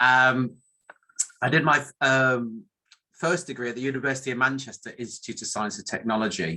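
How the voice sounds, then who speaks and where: With a northern English accent, this man talks at a moderate pace and medium pitch, his bright, sharp tone showing ordinary pitch variation and big swings in loudness. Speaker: academic statistician. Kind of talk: conference talk. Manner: halting, many fillers.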